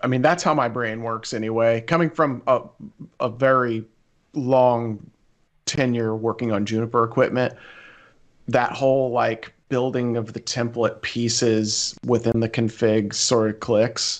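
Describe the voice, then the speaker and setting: A man with a normal speaking voice talks at a fairly slow pace, his pitch medium and his intonation fairly even. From central Illinois. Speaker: network engineer. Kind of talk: casual chat.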